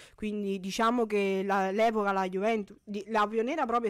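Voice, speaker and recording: A woman talks at a fairly quick pace with a medium pitch and a monotone, flat intonation. The background is quiet. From Campania, Italy. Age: 20s. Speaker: women's five-a-side footballer and sports agent; guest. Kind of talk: radio interview. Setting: radio studio. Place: studio. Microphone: studio mic.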